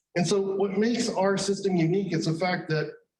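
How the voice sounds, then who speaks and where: Ordinary pitch variation in a man's voice, plus audible room echo. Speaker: company president presenting research. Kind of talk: conference pitch presentation. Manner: repeats words, slightly halting.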